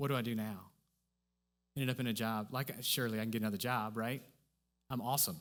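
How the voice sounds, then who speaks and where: A man talks very fast at a medium pitch, with very even loudness and fairly even intonation, broken by long, frequent pauses. The recording is very clean, with a silent background. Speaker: church speaker. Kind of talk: sermon. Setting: church stage with audience. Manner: effortful speech; conversational, repetitive fillers.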